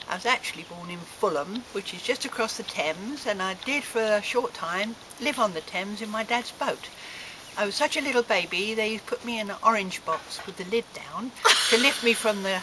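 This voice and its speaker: A woman speaks at a fairly high pitch, her loudness swinging widely. Noticeable background noise runs underneath. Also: ordinary pitch variation, moderate pace. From southwest London, England. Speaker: club member. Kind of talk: casual chat.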